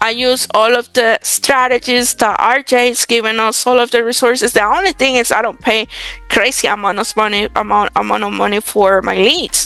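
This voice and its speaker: With music in the background, a woman with a Spanish accent speaks at a moderate pace in a fairly high voice with ordinary pitch variation. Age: 20s. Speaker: real estate wholesaler. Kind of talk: interview.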